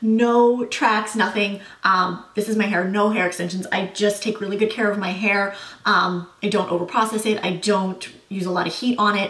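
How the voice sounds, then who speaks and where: A woman speaks in a monotone with flat intonation. Noticeable background noise runs underneath. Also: medium pitch for a woman, moderate pace. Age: 30s. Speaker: beauty and lifestyle vlogger. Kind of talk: casual Q&A vlog. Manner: casual, many filler words.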